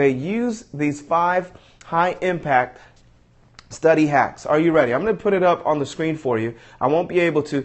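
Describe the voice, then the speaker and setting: A man's plain, everyday voice at a moderate pace. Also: fairly high pitch for a man, ordinary pitch variation. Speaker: motivational speaker. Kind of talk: live stream tutorial. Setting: live broadcast.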